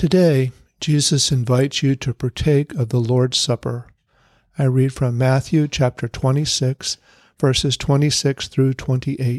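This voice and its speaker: In a plain, everyday voice, a man speaks at medium pitch and a fairly slow pace with fairly even intonation and very even loudness, the sound dry and close with no echo on a very clean recording with a silent background. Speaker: meditation leader. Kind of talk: fervent prayer. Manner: earnest; solemn.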